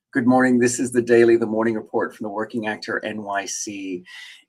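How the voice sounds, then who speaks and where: Moderate speed, medium male pitch, and an ordinary speaking voice from a man. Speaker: working actor, live-stream host. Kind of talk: live-streamed morning report talking to camera. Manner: casual, conversational, chatty.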